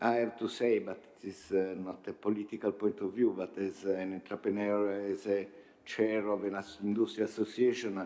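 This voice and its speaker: Speaking at a moderate pace in a fairly low pitch, a man with an Italian accent has a dark, mellow tone and a monotone, flat intonation. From Italy. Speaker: industry association chair. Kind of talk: panel discussion. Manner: halting, many fillers.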